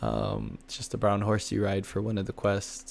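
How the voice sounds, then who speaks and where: Vocal fry runs through this voice at a moderate pace. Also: man. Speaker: gaming livestreamer. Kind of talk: casual chat. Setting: livestream. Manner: relaxed, conversational with fillers.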